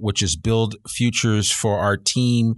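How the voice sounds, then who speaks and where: A man talks with fairly low pitch and fairly even intonation in an unremarkable speaking voice. The sound is dry and close with no echo, over a quiet background. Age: 50s. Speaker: podcast host. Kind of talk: interview. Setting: radio studio.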